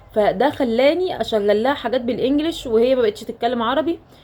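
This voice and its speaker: With an Egyptian accent, a woman talks at a fairly quick pace and varies her pitch in an ordinary way. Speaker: nurse and mother. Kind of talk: casual talk to camera.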